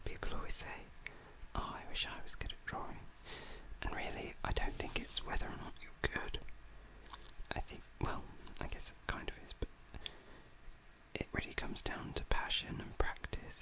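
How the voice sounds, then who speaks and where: A man whispers with long, frequent pauses. Noticeable background noise sits behind him. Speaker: ASMR artist. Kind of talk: whispered ASMR chat while drawing.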